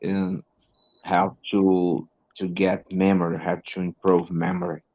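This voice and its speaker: A man's very deep, low voice at a very slow pace, with a Brazilian Portuguese accent, dry, close sound with no echo and a quiet background. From northern Brazil. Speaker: English teacher and learner. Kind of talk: casual conversation lesson. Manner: halting.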